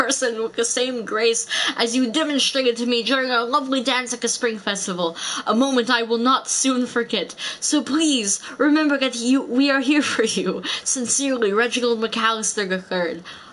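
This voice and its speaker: This put-on character voice sounds guttural and strained. It moves at a moderate pace over light background noise. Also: female-sounding voice, high pitch for a woman. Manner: strained put-on.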